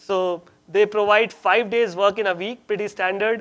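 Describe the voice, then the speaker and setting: This man's voice is high in pitch. His intonation stays fairly even. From India. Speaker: community workshop presenter on job scams. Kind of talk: informal presentation to an audience. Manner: hesitant, many fillers and restarts.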